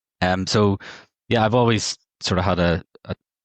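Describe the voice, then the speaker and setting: Recorded with a dry, close sound, no echo and a quiet background, the speaker talks at a moderate pace with a Northern Irish accent. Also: man. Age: 40s. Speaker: market data technology executive. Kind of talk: podcast interview.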